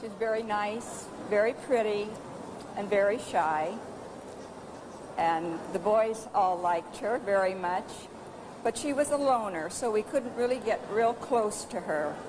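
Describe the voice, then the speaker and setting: Fairly slow speech with long, frequent pauses, ordinary pitch variation, and noticeable background noise. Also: woman, fairly high pitch for a woman. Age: 60s. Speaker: former schoolmate of a film star. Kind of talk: interview.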